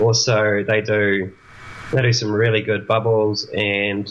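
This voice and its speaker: With a New Zealand accent, the speaker talks at a moderate pace in a flat, monotone intonation against noticeable background noise. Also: man. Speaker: traveling winemaker. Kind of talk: casual interview. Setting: video call.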